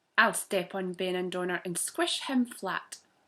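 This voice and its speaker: With a Scottish accent, a woman speaks at a fairly slow pace in a bright, sharp tone at a medium pitch. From Scotland. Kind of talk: children's story reading.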